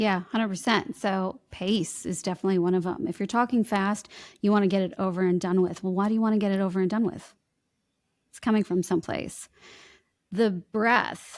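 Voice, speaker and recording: A plain, everyday voice: a woman at medium pitch, fairly quick pace, fairly even intonation, on a very clean recording with a silent background. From US Midwest, Chicago. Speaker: voice coach. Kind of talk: podcast interview.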